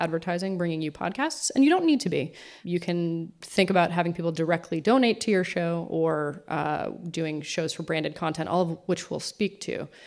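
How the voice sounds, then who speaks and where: On a very clean recording with a silent background, a woman with an unremarkable speaking voice and a fairly low pitch talks at a moderate pace. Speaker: podcasting executive. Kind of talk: conference talk. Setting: stage with audience.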